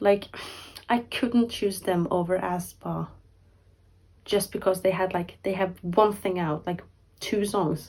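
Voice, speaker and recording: A woman speaks at a very slow pace. She leaves long, frequent pauses. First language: not English. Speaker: K-pop YouTuber. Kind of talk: casual vlog talk to camera. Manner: rambling, filler-heavy; halting, self-correcting.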